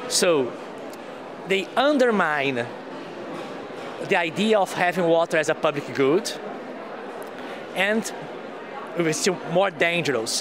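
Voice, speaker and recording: Amid audible room echo and noticeable background noise, a man with a high pitch and lively intonation talks at a fairly slow pace with long, frequent pauses. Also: very even loudness. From Brazil. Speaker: water activist. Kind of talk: interview.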